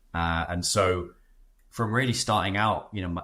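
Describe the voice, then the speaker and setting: A man with a British accent, very deep, low pitch and bright, sharp tone at a moderate pace, on a very clean recording with a silent background. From Britain. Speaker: startup founder. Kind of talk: podcast interview. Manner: hesitant, many fillers.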